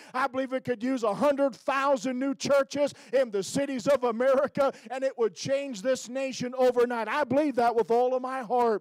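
With hardly any pauses, a man with an extremely high pitch talks at a moderate pace and fairly even intonation, the sound dry with no echo and the background quiet. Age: 50s. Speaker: evangelist preacher. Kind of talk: sermon. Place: church. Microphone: handheld.

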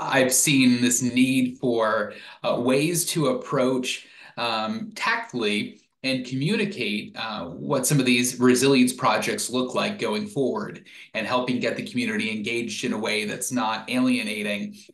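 A man speaks at a fairly slow pace with vocal fry, and audible echo from the room. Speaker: presenter. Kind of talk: webinar presentation. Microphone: webcam.

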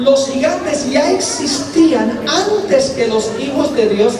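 A man's voice amid audible room echo and crowd noise in the background. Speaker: preacher. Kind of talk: sermon. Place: hall.

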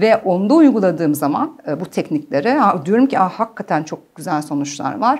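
Against a quiet background, a woman talks at a moderate pace with very wide pitch swings and hardly any pauses. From Germany. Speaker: clinical psychologist; guest. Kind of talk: interview. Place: studio. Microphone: lapel.

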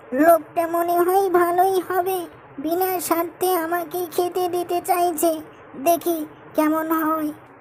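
Over clear background noise, a cartoonish character voice speaks very slowly at an extremely high pitch with monotone, flat intonation.

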